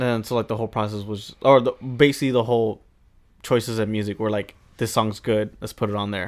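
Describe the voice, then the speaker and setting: A man with an American accent speaks at a fairly quick pace in a monotone, flat delivery. The recording is very clean, with a silent background. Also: medium pitch for a man. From Mexican American. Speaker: podcast host. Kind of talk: casual interview chat. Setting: live stream, pre-recorded. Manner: casual, profane.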